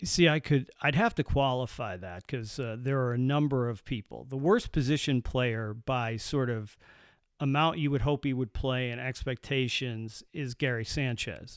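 At a moderate pace, a man talks in a normal speaking voice of medium pitch with ordinary pitch variation, captured on a very clean recording with a silent background. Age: 50s. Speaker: baseball fan, host's father. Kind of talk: casual chat.

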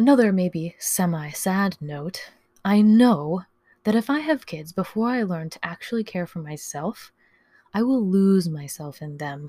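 With a medium pitch and a dark, mellow, somewhat breathy tone, a woman speaks at a fairly slow pace with lively intonation and big swings in loudness, in a very clean recording with a silent background. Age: 30s. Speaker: podcast host. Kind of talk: personal monologue.

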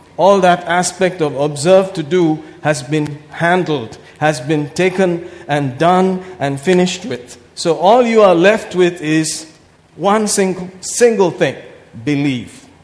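A man with a high pitch talks at a very slow pace with ordinary pitch variation, over noticeable background noise. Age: 50s. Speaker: pastor. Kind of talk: sermon. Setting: church. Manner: animated.

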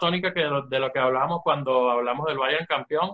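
Speaking at a fairly high pitch with fairly even intonation, a man with an unremarkable speaking voice keeps a moderate pace. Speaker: football podcast co-host. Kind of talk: casual chat. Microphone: bad connection.

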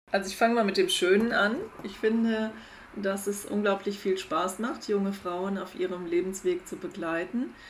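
Amid audible room echo, a woman speaks at medium pitch and moderate pace with ordinary pitch variation. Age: 50s. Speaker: psychologist. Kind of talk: interview.

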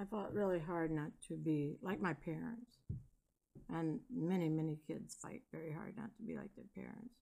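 A woman speaks at a moderate pace in a fairly low voice. Her tone is dark and mellow, with vocal fry. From Michigan, US. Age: 60s. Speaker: grandmother, retired bus driver. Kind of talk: casual interview chat, personal stories.

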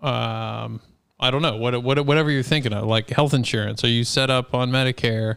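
A man talks at a moderate pace and medium pitch with fairly even intonation. He has an ordinary speaking voice. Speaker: podcast host. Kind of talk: casual chat.

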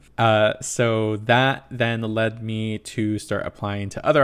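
A man with a Californian accent and a fairly low pitch. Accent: Californian American English. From Southern California, Inland Empire. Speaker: podcast host and creative producer. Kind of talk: casual interview chat.

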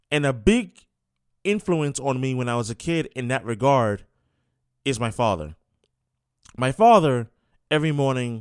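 A man with a New York accent speaks at a moderate pace. The recording is very clean, with a silent background. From New York City. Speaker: sports radio host. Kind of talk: sports talk radio monologue. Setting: radio studio.

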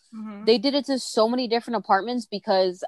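A woman with an American accent speaks fairly quickly in a plain, everyday voice, with ordinary pitch variation. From Texas. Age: 20s. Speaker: podcast guest. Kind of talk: casual chat.

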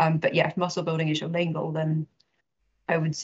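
Talking very fast, a woman with a fairly low pitch sounds somewhat breathy, her intonation monotone and flat. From outside Scotland. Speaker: fitness coach. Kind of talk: casual chat.

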